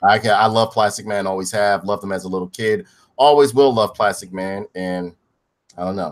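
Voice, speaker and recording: A man speaks in an animated tone at a fairly quick pace and fairly low pitch, on a very clean recording with a silent background. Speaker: podcast host. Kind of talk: reading aloud; casual chat. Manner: halting.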